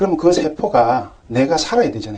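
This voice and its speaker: This man talks at a moderate pace with a Gyeongsang accent, a dark, mellow tone and ordinary pitch variation. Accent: Gyeongsang dialect, noticeable. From Gyeongsang region, Korea. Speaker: pharmacist lecturer. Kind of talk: health lecture. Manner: conversational, rhetorical questions.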